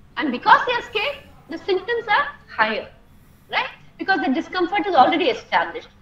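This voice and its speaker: Over noticeable background noise, a woman with an extremely high pitch talks at a very fast pace with very wide pitch swings and long, frequent pauses. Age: 60s. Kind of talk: talk to parents.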